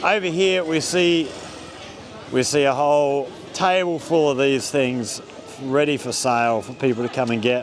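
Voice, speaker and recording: With lively intonation and a fairly high pitch, a man speaks at a moderate pace amid audible room echo and noticeable background noise. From Australia. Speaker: vlogger living abroad. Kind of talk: casual vlog narration.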